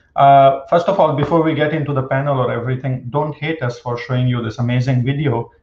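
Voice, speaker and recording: Audible room echo surrounds a man speaking in a monotone, flat intonation. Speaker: panel moderator, professor. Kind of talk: panel moderator introduction. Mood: friendly, light humor. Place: home room. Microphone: webcam.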